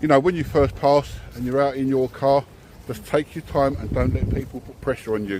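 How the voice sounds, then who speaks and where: A man with an English accent, medium pitch, ordinary pitch variation, big swings in loudness, and a fairly quick pace. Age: 60s. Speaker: driving instructor. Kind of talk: casual chat. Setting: selfie stick video.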